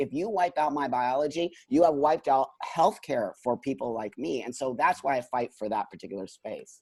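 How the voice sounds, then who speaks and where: The speaker keeps a moderate pace with hardly any pauses and lively intonation. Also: man, fairly high pitch for a man. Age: 50s. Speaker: transgender activist guest. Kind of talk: podcast interview. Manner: emphatic.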